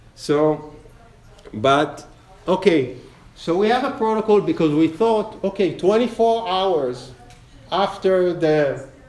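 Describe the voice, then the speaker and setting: A man with a high-pitched voice speaks at a fairly slow pace with lively intonation over noticeable background noise. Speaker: lecturer on trauma therapy research. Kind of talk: lecture.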